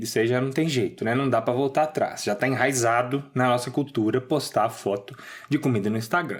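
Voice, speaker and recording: Talking at a very fast pace with a Minas Gerais accent, a man shows ordinary pitch variation. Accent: mineiro. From Minas Gerais, Brazil. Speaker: podcast co-host. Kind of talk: casual humorous commentary.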